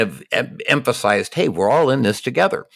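At a moderate pace, a man speaks at a medium pitch with vocal fry and very wide pitch swings. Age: 50s. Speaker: podcast host. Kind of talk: casual interview conversation.

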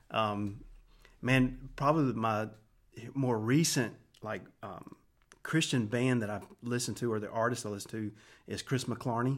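Recorded very cleanly against a silent background, the speech comes with an American accent at a moderate pace, with fairly even intonation and long, frequent pauses. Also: man, medium pitch for a man. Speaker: worship pastor. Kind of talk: casual interview.

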